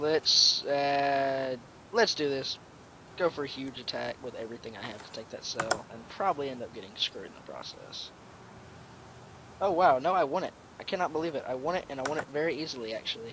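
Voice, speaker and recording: Over noticeable background noise, a man talks at a fairly quick pace and fairly high pitch, with ordinary pitch variation and big swings in loudness. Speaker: gamer. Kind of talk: game commentary. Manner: fast.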